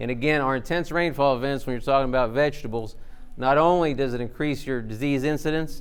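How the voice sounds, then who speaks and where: A fairly high-pitched man with a Southern US accent at a very fast pace, fairly even in intonation, with audible room echo. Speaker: agricultural researcher. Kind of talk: conference presentation.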